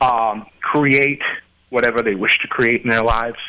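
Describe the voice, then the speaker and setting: A man talks in a flat monotone at a medium pitch, keeping a moderate speed. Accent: American. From Queens, New York. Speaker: website owner and entrepreneur. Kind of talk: casual interview chat.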